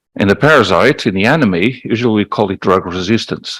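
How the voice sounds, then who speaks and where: A man talks fairly quickly in a fairly low voice, his pitch varying in an ordinary way. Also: very clean recording, silent background. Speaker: malaria researcher. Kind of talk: conference talk. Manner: fast.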